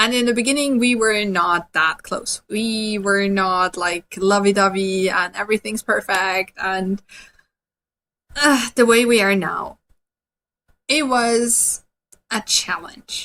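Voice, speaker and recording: In an Austrian accent, a woman speaks at a very slow pace with long, frequent pauses. Her voice is fairly high, with a bright, sharp tone and ordinary pitch variation. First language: German. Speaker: dog trainer. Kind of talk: webinar presentation. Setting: online webinar.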